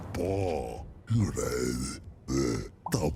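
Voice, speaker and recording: Growling in a put-on character voice, a man speaks at a very deep, low pitch over clear background noise. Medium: video game. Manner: babbling nonsense language.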